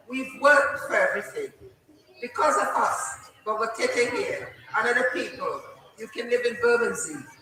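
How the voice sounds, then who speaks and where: There is noticeable background noise. Audible room echo is also present. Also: woman, moderate pace. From Trinidad and Tobago. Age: 60s. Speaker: elder community speaker, former nurse. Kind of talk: impassioned public speech. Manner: animated. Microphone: faulty microphone cutting out.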